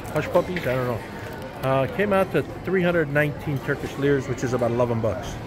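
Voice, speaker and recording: Amid noticeable background noise and audible room echo, a man with a fairly high pitch and ordinary variation talks at a fairly quick pace, broken by long, frequent pauses. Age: 60s. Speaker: travel vlogger. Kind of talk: casual vlog narration.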